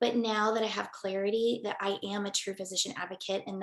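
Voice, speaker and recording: An ordinary speaking voice, a woman's, fairly high in pitch and at a moderate pace. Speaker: psychiatrist giving a program testimonial. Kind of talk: testimony.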